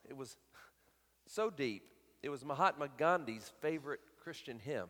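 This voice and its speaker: Speaking fairly slowly with a Southern US accent, a man uses a fairly high pitch and lively intonation. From US South, Alabama. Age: 50s. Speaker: guest preacher. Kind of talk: sermon. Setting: church.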